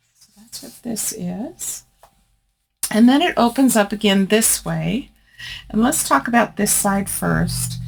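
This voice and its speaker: A woman's voice at a very slow pace, with big swings in loudness and music in the background. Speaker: crafting YouTuber. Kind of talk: craft tutorial. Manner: casual, conversational.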